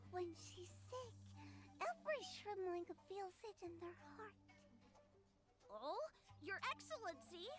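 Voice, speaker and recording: Clear background noise sits behind a put-on character voice that moves at a fairly slow pace with long, frequent pauses. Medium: video game.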